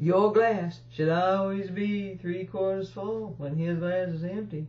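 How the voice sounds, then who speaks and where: This woman's voice is very deep and low in pitch and somewhat breathy. She speaks at a fairly slow pace. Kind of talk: comic monologue. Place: home room. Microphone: webcam.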